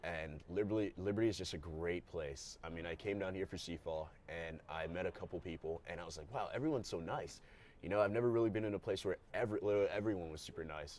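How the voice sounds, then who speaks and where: A man with an American accent, very deep and low in pitch, with ordinary pitch variation, talking very fast with hardly any pauses. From Maryland, US (moved from Ghana at four). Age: 20s. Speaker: college athlete. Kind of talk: interview. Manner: casual, many fillers.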